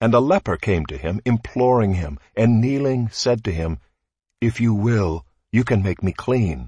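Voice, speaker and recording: A man's fairly low, somewhat breathy voice, dark and mellow in tone, solemn, dry and close with no echo. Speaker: scripture reader. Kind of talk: scripture reading; liturgical reading in a prayer service. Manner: slow, measured, solemn; formal, reverent.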